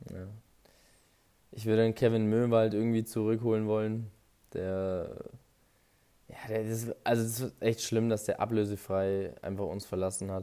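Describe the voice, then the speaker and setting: This man's voice is fairly low, dark and mellow, with monotone, flat intonation. His loudness swings widely, and he takes long, frequent pauses. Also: moderate pace. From Augsburg, Bavaria, Germany. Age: 20s. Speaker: football fan podcaster. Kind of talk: casual fan podcast Q&A.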